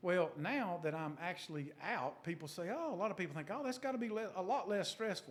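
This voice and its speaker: A man with a North Carolina accent talks at a fairly quick pace with hardly any pauses. His high pitch moves in a lively intonation. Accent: Southern US (North Carolina). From US South, western North Carolina (Burke County). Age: 60s. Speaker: car dealership executive. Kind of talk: interview. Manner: conversational.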